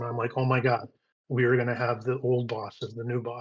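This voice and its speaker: This voice belongs to a man with an American accent. His medium pitch sounds somewhat breathy. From United States. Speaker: crypto community leader. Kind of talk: community town hall talk.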